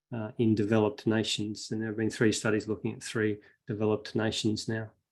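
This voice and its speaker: A man speaks in an Australian accent. His pitch is fairly low. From Western Australia, Perth. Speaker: veterinary researcher and animal advocate. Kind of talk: online talk. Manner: hesitant with many fillers.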